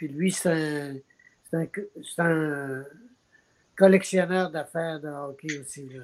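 A woman's very deep, low voice at a very slow pace, with long, frequent pauses, fairly even intonation and big swings in loudness. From Quebec. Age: 70s. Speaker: actor. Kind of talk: interview.

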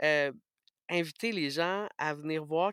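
A man with a Quebec accent and fairly high pitch, fairly even intonation, in a very clean recording with a silent background and a dry, close sound with no echo. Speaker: radio host. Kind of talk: interview testimony.

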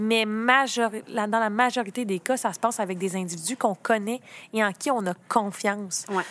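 Her intonation fairly even, a woman speaks in a fairly high voice. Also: very clean recording, silent background. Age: 30s. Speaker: lawyer. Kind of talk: casual chat.

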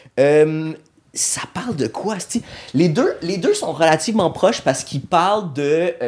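At a fairly slow pace, a man speaks with lively intonation. His pitch is high. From Montreal, Quebec. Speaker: comedian. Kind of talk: casual chat.

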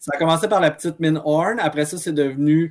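A man's fairly high-pitched voice in a Quebec accent, on a very clean recording with a silent background. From Quebec, Abitibi-Témiscamingue. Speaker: archivist. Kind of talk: casual history discussion.

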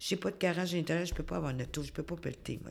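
In a Quebec accent, a woman speaks at a fairly low pitch with vocal fry. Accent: Québécois French. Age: 60s. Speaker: community worker, social worker. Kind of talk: interview.

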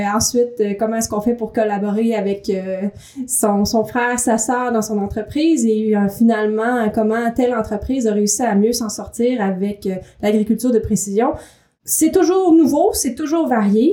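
In a normal speaking voice, a woman talks at a fairly slow pace with fairly high pitch and ordinary pitch variation. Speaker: magazine editor and podcast co-host. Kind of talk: casual chat. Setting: echoey room. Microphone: room echo.

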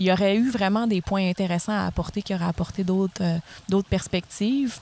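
A woman talks with fairly even intonation. Her pitch sits in the medium range. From Gaspésie, Quebec. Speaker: speech therapist. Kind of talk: casual chat.

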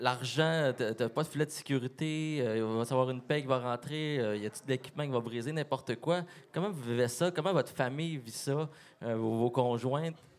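Here a man talks at a moderate pace in a normal speaking voice. His pitch is medium and varies in an ordinary way. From Quebec, Lac-Saint-Jean region. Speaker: podcast co-host. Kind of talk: interview.

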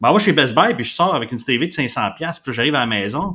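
On a very clean recording with a silent background, a man speaks fairly quickly with lively intonation and a bright, sharp tone. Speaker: podcast host. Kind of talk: casual chat.

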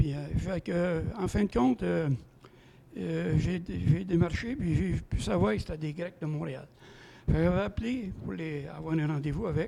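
At a fairly slow pace, a man speaks in a fairly high pitch that swings very widely. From Quebec (Saint-Félix, Lanaudière). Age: 70s. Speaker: guest's father-in-law. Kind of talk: storytelling.

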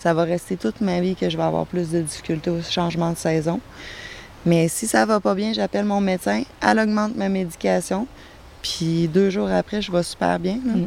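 A woman speaks at a fairly low pitch. Her voice swings very widely in pitch. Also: moderate pace. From Quebec City. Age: 30s. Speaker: guest living with bipolar disorder. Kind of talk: testimony. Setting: outdoors in a garden.

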